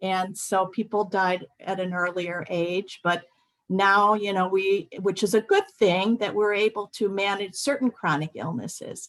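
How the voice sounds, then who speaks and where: In a plain, everyday voice, a woman talks at a fairly slow pace. Her pitch is medium and her intonation fairly even. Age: 60s. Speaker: healthcare professional speaking on end-of-life care. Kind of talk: webinar talk. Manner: conversational, many filler words.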